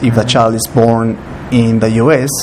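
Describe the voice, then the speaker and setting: Noticeable background noise runs behind a man speaking. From Peru. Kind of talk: interview answer.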